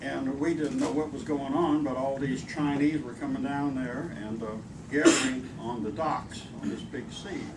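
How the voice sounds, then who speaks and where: Medium-pitched male speech at a moderate pace with audible room echo. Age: 70s. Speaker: war veteran. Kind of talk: testimony. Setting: dinner event with audience.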